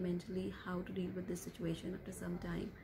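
Over noticeable background noise, a woman speaks at a fairly quick pace in a dark, mellow tone. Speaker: vlogger. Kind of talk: casual vlog chat. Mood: calm, concerned. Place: home room. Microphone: phone near.

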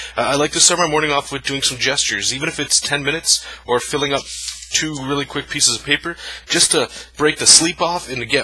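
A man talks at a very fast pace with fairly even intonation. The sound is dry, with no echo. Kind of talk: tutorial. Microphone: phone near.

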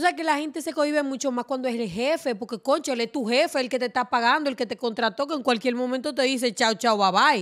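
The speech moves at a very fast pace with hardly any pauses. The background is quiet. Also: woman, high pitch for a woman, ordinary pitch variation. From Dominican Republic, Montecristi; Dominican Republic. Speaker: TV presenter. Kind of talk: casual interview. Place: studio. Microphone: studio mic.

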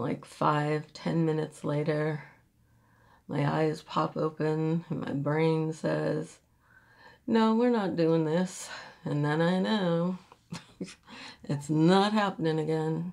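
Against a quiet background, a woman with a very deep, low pitch speaks at a very slow pace with long, frequent pauses. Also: ordinary pitch variation. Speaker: beauty vlogger. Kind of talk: makeup tutorial. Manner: casual, chatty. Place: home room. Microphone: phone near.

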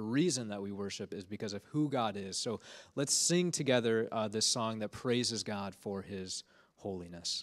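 Over a quiet background, a man talks at a moderate pace with ordinary pitch variation. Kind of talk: sermon. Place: church. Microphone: handheld.

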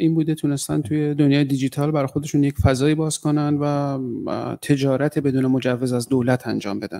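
Against a quiet background, a man with a fairly high pitch and a dark, mellow tone speaks at a fairly slow pace with fairly even intonation and hardly any pauses. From northern Iran, Caspian region; Iran. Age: 40s. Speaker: writer. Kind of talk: talk. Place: hall. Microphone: podium.

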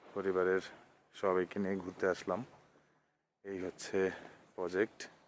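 A man speaks at a very deep, low pitch. His intonation stays monotone and flat. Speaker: vlogger. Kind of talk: vlog walking tour narration. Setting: outdoors in village fields.

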